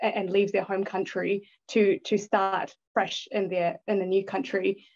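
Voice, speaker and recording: A woman's medium-pitched voice at a moderate pace against a quiet background. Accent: New Zealand. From born in Thailand, grew up in New Zealand. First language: Thai. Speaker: bitcoin investor and educational video creator. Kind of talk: podcast interview.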